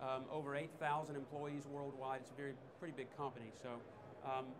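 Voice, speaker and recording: A fairly high male voice with a slight Southern US accent at a fairly quick pace, amid audible room echo and noticeable background noise. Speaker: technical trainer. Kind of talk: product demonstration talk. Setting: trade show stage with audience.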